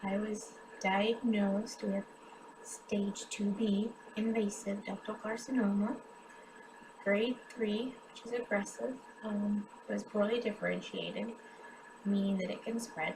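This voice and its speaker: A woman with an American accent, fairly high-pitched, flat and monotone, at a fairly slow pace with long, frequent pauses, over noticeable background noise. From US Midwest, western Kansas. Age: 30s. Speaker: cancer patient and charity drive host. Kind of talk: personal testimony. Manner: halting, many filler ums.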